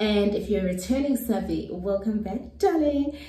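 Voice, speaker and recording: A woman talks at a moderate pace in a room with audible echo and light background noise. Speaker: beauty vlogger. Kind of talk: casual vlog chat. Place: home room. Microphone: phone near.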